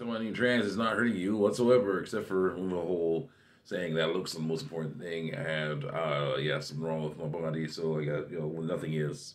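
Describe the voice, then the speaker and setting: At a fairly quick pace with hardly any pauses, a man with a very deep, low voice speaks with lively intonation. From Germany. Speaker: YouTuber reading hate mail; vlogger. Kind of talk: casual commentary reading messages; casual vlog chat, reading and answering comments. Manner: halting, many fillers. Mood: argumentative, amused at times. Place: home room. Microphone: webcam.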